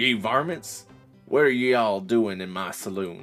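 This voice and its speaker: A man speaks at a moderate pace in a gruff, put-on character voice of medium pitch, with faint music in the background. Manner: staying in character, gruff.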